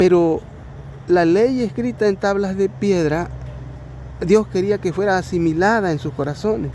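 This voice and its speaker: Speech at a fairly slow pace, with ordinary pitch variation and long, frequent pauses, comes through noticeable background noise. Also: man, high pitch for a man. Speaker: lay preacher. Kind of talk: bible study. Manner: halting.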